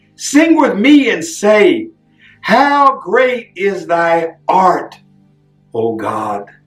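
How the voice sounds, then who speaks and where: Over music in the background, a man speaks very slowly at a high pitch with very wide pitch swings. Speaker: street preacher and poet. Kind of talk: poetry reading.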